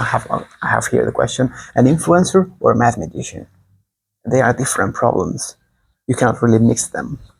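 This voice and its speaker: The speaker has a Spanish accent and a somewhat breathy voice with lively intonation. The pace is fairly quick, yet long pauses come often. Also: man, medium pitch for a man. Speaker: online teacher. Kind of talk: improvised lecture. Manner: fast; animated.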